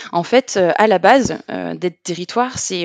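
Recorded dry and close with no echo, a woman speaks at a fairly low pitch with ordinary pitch variation. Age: 30s. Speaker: public digital service deployment officer. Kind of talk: interview. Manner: hesitant, many fillers.

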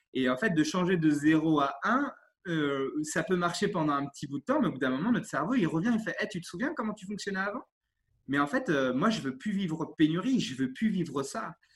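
A man's high-pitched voice with lively intonation. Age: 30s. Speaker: sports coach. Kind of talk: interview. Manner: animated; halting.

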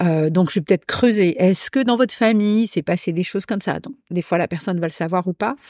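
A woman has an ordinary speaking voice at a medium pitch, with ordinary pitch variation and a fairly quick pace. The recording is very clean and dry, with a close sound, no echo and a silent background. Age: 60s. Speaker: hypnotherapist. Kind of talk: casual chat.

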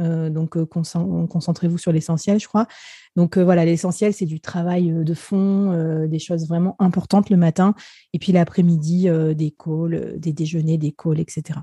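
Speaking at a very slow pace, a woman with a fairly low pitch uses a dark, mellow, somewhat breathy tone and a monotone, flat intonation, recorded dry and close with no echo against a quiet background. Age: 30s. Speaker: business executive. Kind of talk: casual chat.

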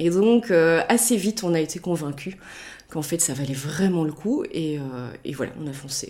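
Lively in intonation, a woman talks at a moderate pace in a fairly low voice with a dark, mellow tone. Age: 40s. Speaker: mother who traveled the world with family. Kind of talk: casual interview.

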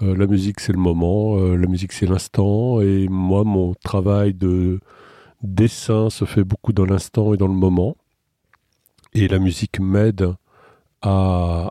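In a very clean recording with a silent background and a dry, close sound with no echo, a man with a very deep, low pitch and a dark, mellow tone speaks at a very slow pace in a monotone, flat delivery, with very even loudness and long, frequent pauses. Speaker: children's author and artist. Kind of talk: interview. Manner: hesitant, many repetitions.

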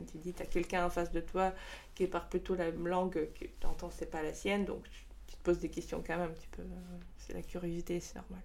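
The pace is fairly quick. Loudness swings widely. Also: woman. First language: Russian (speaking French). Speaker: startup co-founder. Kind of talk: interview. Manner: halting.

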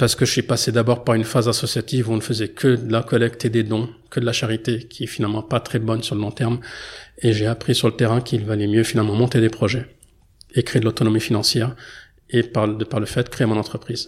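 Somewhat breathy and monotone, a man speaks very fast at a medium pitch on a very clean recording with a silent background. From France. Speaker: anthropology researcher and founder. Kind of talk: interview. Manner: hesitant, many filler sounds.

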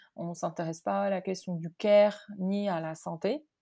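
A woman talks fairly slowly, captured in a very clean recording against a silent background. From Morocco. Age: 30s. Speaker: company founder. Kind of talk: interview. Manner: halting, many repetitions and fillers.

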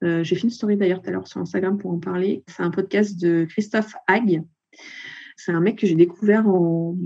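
At a moderate pace, a woman talks at medium pitch in a dark, mellow tone. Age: 40s. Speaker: accountant and photographer. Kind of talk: interview.

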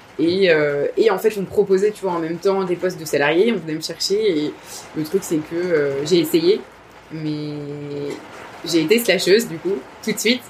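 A woman with a fairly low pitch and ordinary pitch variation speaks at a moderate pace, leaving long, frequent pauses over noticeable background noise. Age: 30s. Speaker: freelancer, founder of a freelancer collective. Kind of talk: casual interview.

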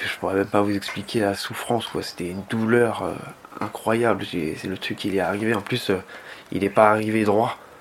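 A man talks at a moderate pace with a fairly low pitch. His intonation is monotone and flat, and noticeable background noise is present. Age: 20s. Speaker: injured protester. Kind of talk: testimony.

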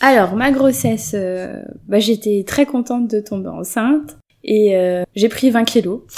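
A woman talks at a very slow pace in a fairly high voice. Her pitch varies in an ordinary way. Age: 30s. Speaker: mother. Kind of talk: casual chat. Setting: recorded at home in the evening.

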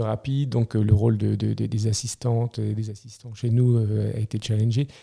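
Dry and close with no echo, the recording holds a man's somewhat breathy voice with a dark, mellow tone. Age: 40s. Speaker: CEO of a family moving group. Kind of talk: podcast interview. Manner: halting, many repetitions.

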